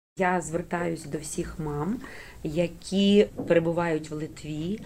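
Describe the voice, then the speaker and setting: A woman speaks at a fairly slow pace in a fairly low pitch. Her tone is dark and mellow, with ordinary pitch variation. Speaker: school director. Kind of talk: radio interview. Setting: studio.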